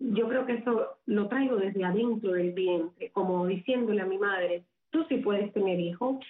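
A woman has an ordinary speaking voice of medium pitch. She talks at a moderate pace with ordinary pitch variation. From Cuba, Havana. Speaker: psychic medium, social media personality. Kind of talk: radio interview.

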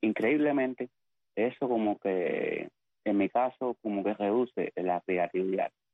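A man speaks at a medium pitch with ordinary pitch variation. His loudness stays very even, and his pace is fairly slow. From Cuba, Pinar del Río. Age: 50s. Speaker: poet and writer. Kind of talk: interview. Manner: halting.

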